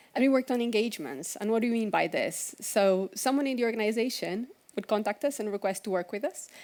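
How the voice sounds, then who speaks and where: A woman talks at a very fast pace in a very clean recording with a silent background. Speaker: conference speaker, agile coach. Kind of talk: conference talk.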